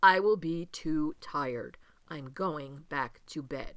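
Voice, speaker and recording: Using a put-on character voice, a woman speaks at a very deep, low pitch and a fairly slow pace. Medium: read story.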